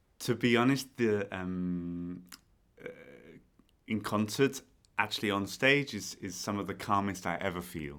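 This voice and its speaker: A man with a British accent speaks at a fairly slow pace in a fairly low voice, with ordinary pitch variation and long, frequent pauses. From Britain. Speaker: conductor. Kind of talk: podcast interview. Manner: hesitant, many fillers.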